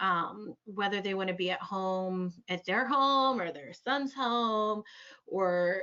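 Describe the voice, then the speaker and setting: A woman with an unremarkable speaking voice, medium pitch and ordinary pitch variation. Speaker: clinical social worker. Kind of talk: webinar presentation. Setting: online webinar.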